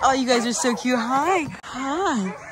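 Noticeable background noise is present. The sound itself is dry, with no echo. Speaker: travel vlogger. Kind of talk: casual vlog chat. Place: open country. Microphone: phone near.

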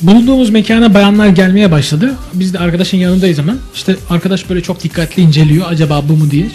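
With music in the background, a man speaks at a very fast pace. His pitch is high, with ordinary pitch variation. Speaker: radio DJ. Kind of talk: anecdote told on radio.

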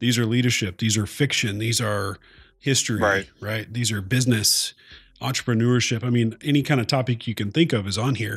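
A man with a plain, everyday voice at a medium pitch, fairly even intonation and a fairly quick pace, on a very clean recording with a silent background. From Oklahoma. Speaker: podcast co-host and military firefighter. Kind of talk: casual chat.

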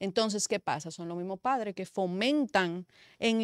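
A woman talks with ordinary pitch variation against a quiet background. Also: dry sound with no echo. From Dominican Republic, San Pedro de Macorís. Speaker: media commentator. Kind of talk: talk show discussion. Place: studio. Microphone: studio mic.

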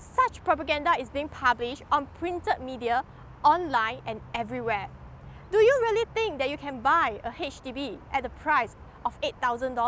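Over light background noise, a woman with a high pitch talks at a moderate pace with very wide pitch swings, the sound dry with no echo. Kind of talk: speech to camera on rights issues. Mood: earnest, critical, questioning. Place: garden. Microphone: lapel.

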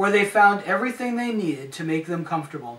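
Audible room echo surrounds a man speaking at a fairly quick pace with ordinary pitch variation. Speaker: storyteller. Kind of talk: reading a story aloud. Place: home room. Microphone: camera far.

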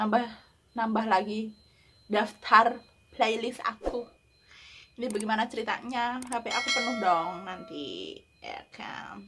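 Over faint background music, a woman with a fairly high voice speaks at a very slow pace, with long, frequent pauses and big swings in loudness. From Indonesia. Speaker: YouTuber reacting to music videos. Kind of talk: reaction video commentary. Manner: animated, excitable.

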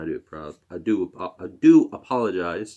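The background stays quiet while a man talks. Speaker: YouTuber opening hockey card packs. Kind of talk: casual card-opening video. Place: home room. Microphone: webcam.

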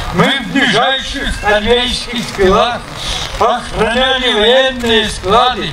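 A man's raised, projected voice at an extremely high pitch and a very slow pace, amid noticeable background noise. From Russia. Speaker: war veteran. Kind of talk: poetry reading. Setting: outdoors. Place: open country. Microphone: handheld.

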